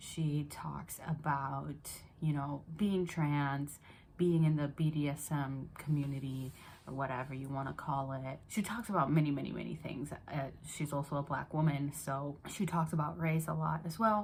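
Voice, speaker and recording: A soft-spoken woman with an American accent, very deep, low pitch, ordinary pitch variation and a moderate pace. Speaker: book YouTuber. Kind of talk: casual vlog. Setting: parents' house at night.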